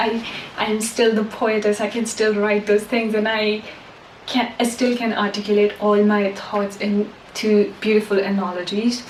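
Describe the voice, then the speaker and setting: A woman speaks with a non-native accent at a moderate pace. Noticeable background noise is present. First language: not English. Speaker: self-help podcaster and poet. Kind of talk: casual monologue to camera. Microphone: poor voice quality, mic was off.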